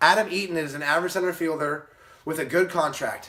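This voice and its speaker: This man's delivery is fairly quick. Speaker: baseball vlogger. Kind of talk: casual solo commentary. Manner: fast; mumbling, halting.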